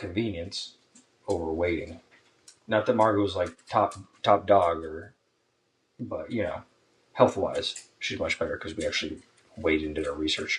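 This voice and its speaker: A man mumbles quietly at a moderate pace, leaving long, frequent pauses. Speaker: podcast co-host, soldier. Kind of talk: casual chat. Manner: mumbling, quiet; low energy.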